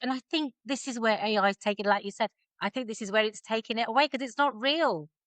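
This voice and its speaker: Speaking with an English accent, a woman uses a fairly high pitch, ordinary pitch variation and a bright, sharp tone, in a dry, close sound with no echo against a quiet background. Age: 50s. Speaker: body confidence coach and stylist. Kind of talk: casual chat.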